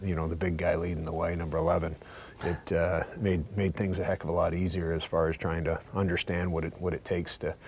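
Speech comes at a very fast pace with monotone, flat intonation over light background noise. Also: man, very deep, low pitch for a man. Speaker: guest. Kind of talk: interview answer. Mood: warm, reflective. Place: studio. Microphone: lapel.

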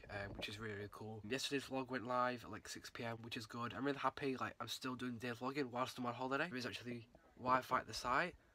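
A man talks at a very fast pace. His intonation is fairly even and the sound is dry, with no echo. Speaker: vlogger. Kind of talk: casual vlog chat. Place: home room. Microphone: phone near.

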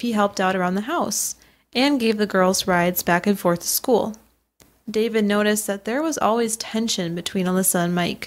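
On a very clean recording with a silent background, a woman with an unremarkable speaking voice talks at a fairly quick pace in a fairly high pitch, with ordinary pitch variation. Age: 20s. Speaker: true crime podcast co-host. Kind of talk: scripted narration.

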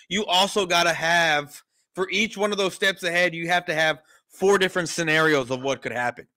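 The voice has a bright, sharp tone and an American accent. It moves at a fairly quick pace over a quiet background. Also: man, high pitch for a man, ordinary pitch variation. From San Antonio, Texas; Texas. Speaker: sports podcast host. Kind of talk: casual chat. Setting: remote call from home kitchen. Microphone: studio mic.

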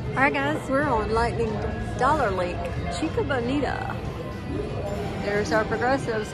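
Over loud music in the background, the voice moves at a moderate pace. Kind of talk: casual gambling commentary. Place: hall. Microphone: phone near.

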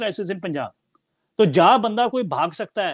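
A man's pitch varies in an ordinary way as he talks at a moderate pace, the background quiet. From Punjab, India. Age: 30s. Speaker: Sikh commentator and author; Sikh commentator. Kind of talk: interview discussion; interview answer. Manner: animated. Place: home room. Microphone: earbuds.

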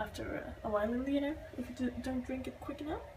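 Noticeable background noise fills the clip. A woman speaks with ordinary pitch variation. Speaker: vegan cooking vlogger. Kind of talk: casual talk to camera.

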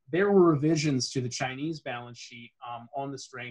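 Against a quiet background, a man with a somewhat breathy voice speaks at a moderate pace with fairly even intonation. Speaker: market intelligence executive; presenter. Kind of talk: webinar presentation. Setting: video call. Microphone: webcam.

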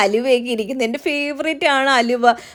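On a very clean recording with a silent background, a woman speaks in a high pitch. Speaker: family vlogger. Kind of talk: casual vlog narration.

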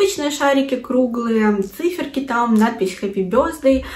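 A woman speaks in an animated tone at a fairly high pitch with lively intonation. Her pace is moderate, and audible room echo surrounds her voice. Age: 20s. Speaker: video blogger. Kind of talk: vlog. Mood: cheerful, pleased.

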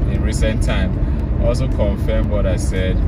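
Heavy noise fills the background while the man's voice comes through dry and echo-free. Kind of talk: casual vlog commentary. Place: car. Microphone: phone near.

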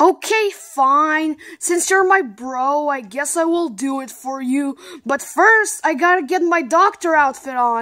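A woman's high, cartoonish character voice, fairly slow, with lively intonation. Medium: puppet show. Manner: calm, reassuring.

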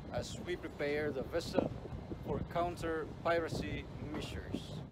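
A man speaks fairly slowly while loud background noise carries on. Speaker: vlogger. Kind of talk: casual vlog chat. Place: boat. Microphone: phone near.

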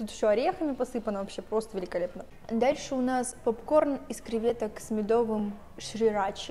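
Light background noise sits behind the voice. A woman speaks at a moderate pace. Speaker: food reviewer vlogger. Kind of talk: casual vlog chat. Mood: playful, joking, swearing. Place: cafe. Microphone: camera far.

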